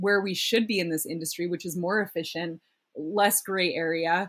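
With a Canadian accent, a woman speaks in a plain, everyday voice, her intonation fairly even. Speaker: startup founder. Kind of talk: casual podcast interview.

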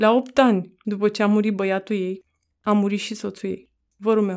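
At a fairly slow pace, a woman speaks in an ordinary speaking voice. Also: very clean recording, silent background. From Romania, Roma community. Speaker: author. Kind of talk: reading aloud.

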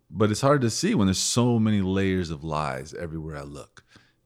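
On a very clean recording with a silent background, a man with a very deep, low pitch speaks at a fairly quick pace with lively intonation. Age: 40s. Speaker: podcast co-host. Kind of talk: casual chat.

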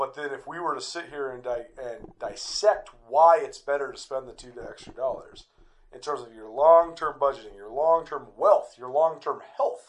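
A man is speaking. His pace is moderate. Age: 30s. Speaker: radio host and podcaster. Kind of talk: casual conversation. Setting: recording on a couch with a hand recorder.

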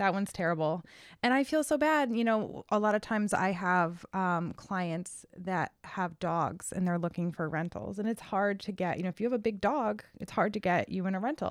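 In an American accent, a woman talks at a moderate pace with a medium pitch and lively intonation. She has a plain, everyday voice, and the recording is very clean with a silent background. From Connecticut, Cheshire. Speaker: real estate agent and podcast co-host. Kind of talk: casual chat.

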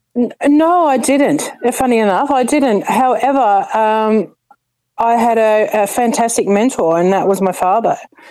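Her tone dark and mellow, a woman speaks at a fairly slow pace in a fairly high pitch with lively intonation and very even loudness. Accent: Australian. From Adelaide, South Australia. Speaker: community volunteer. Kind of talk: interview. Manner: halting.

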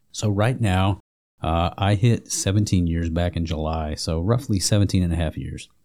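On a very clean recording with a silent background, a man's very deep, low voice carries a dark, mellow tone at a moderate pace with ordinary pitch variation. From Alabama. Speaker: air force sergeant. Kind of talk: casual chat. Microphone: close to the mic.

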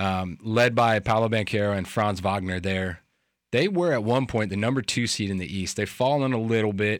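A man with an unremarkable speaking voice talks at a moderate pace with ordinary pitch variation, in a very clean recording with a silent background. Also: fairly low pitch for a man. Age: 30s. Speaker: sports radio host. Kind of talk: sports talk radio.

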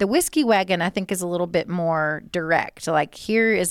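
This is a normal speaking voice with ordinary pitch variation, captured in a very clean recording with a silent background. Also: woman. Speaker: fundraising event specialist. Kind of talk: casual podcast chat.

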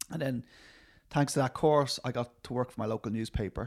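This man has a Dublin accent and ordinary pitch variation, on a very clean recording with a silent background. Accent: Irish, Dublin. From Dublin, Ireland. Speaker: film writer and director. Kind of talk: casual interview.

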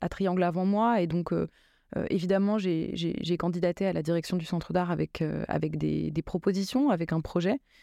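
A woman speaks at a moderate pace in a fairly low, dark, mellow voice with fairly even intonation and very even loudness. The sound is dry and close with no echo, on a very clean recording with a silent background. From France, Seine-Saint-Denis (Paris suburbs), Drancy. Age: 30s. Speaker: contemporary art centre director and curator. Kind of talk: interview. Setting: radio studio. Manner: halting, with frequent hesitations and repetitions.

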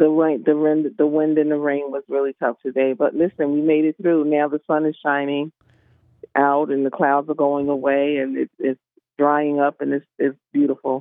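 Speaking at a moderate pace, this woman has a very deep, low pitch and a monotone, flat delivery. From Philadelphia. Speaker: traffic reporter. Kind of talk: call-in traffic report.

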